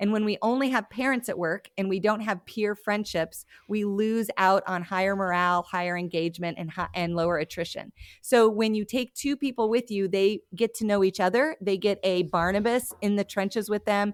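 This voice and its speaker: A woman with an ordinary speaking voice and an American accent, medium pitch, ordinary pitch variation, moderate pace and hardly any pauses, in a very clean recording with a silent background and a dry, close sound with no echo. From Montana. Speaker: church leadership consultant. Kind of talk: podcast interview.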